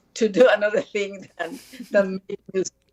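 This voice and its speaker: A woman of medium pitch talks with a Spanish accent, the sound dry and close with no echo. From Costa Rica. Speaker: musician and social activist. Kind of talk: interview. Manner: halting. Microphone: poor connection.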